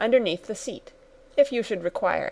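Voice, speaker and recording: A raspy, put-on character voice at a moderate pace. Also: woman. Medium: read story. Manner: smooth, polite, knowing.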